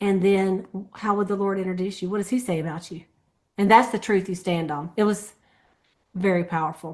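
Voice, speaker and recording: A woman with a medium pitch talks at a fairly quick pace yet leaves long, frequent pauses, all over a quiet background. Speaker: sales team leader. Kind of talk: team meeting recap.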